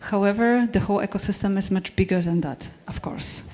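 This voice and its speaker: Her pitch sits in the medium range. The woman's pitch variation is ordinary. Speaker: tech company speaker. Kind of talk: conference talk. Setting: stage with audience. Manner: halting.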